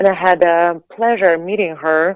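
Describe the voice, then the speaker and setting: This woman has a fairly low pitch and speaks with a Latvian accent. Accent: Latvian accent, harsh. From Latvia, Riga. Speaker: singer and actress, former figure skater. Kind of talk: interview. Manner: halting, many repeated words.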